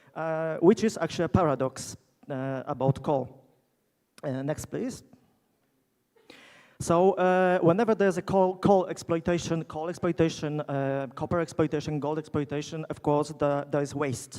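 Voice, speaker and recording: With a Polish accent, a man speaks in a dark, mellow tone at a fairly high pitch with ordinary pitch variation. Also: moderate pace. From Poland. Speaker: geologist, keynote speaker. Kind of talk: conference keynote lecture. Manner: halting, many fillers.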